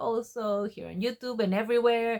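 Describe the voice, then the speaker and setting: A woman speaks with a Spanish accent on a very clean recording with a silent background. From Mexico. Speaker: book vlogger. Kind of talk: casual vlog talk to camera. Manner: casual with frequent fillers.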